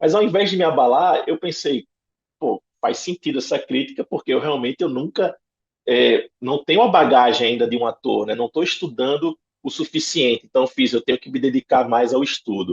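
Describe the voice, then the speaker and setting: In a northeastern Brazilian accent, a man speaks. His pace is moderate. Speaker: actor. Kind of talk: interview answer.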